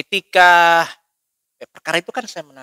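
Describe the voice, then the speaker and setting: Speaking at a fairly slow pace, a man with a high pitch and a bright, sharp tone shows ordinary pitch variation in a dry, close sound with no echo. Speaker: lawyer. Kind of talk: interview. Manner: firm, forceful.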